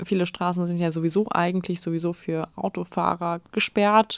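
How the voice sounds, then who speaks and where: A woman at a medium pitch with monotone, flat intonation, dry and close with no echo, on a very clean recording with a silent background. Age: 20s. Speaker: local politician and podcast co-host. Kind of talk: casual chat. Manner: hesitant, many fillers.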